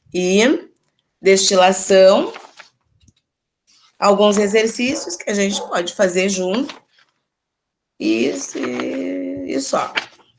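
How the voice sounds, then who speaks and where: A woman speaks at a very slow pace with long, frequent pauses, and audible room echo surrounds her voice. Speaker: chemistry teacher. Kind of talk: lecture.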